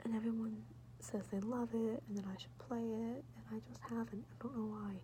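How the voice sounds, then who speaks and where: Soft-spoken at a moderate pace, the voice comes through noticeable background noise. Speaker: ASMR creator. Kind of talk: ASMR soft-spoken show and tell.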